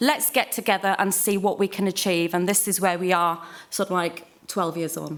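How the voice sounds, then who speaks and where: A woman with a Welsh accent speaks at a moderate pace in a medium pitch with ordinary pitch variation. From Wales. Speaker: tourism manager. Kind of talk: conference panel introduction.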